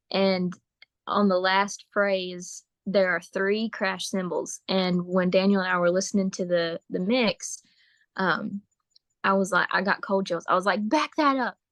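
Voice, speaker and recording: A woman's unremarkable speaking voice at a medium pitch and fairly slow pace, with fairly even intonation and a dry, close sound with no echo against a quiet background. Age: young. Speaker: bluegrass singer and fiddler. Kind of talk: casual interview chat.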